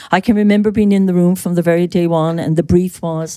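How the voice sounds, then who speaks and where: A woman with an Irish accent, fairly low in pitch, dark and mellow in tone, at a fairly quick pace on a very clean recording with a silent background. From Ireland. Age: 60s. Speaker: skincare brand co-founder. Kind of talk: podcast interview. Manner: animated.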